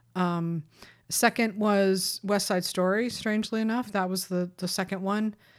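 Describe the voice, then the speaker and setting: A woman talks at a fairly slow pace with a medium pitch and fairly even intonation. Hers is an ordinary speaking voice. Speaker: awards-season podcast host and website editor. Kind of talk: casual chat. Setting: video call.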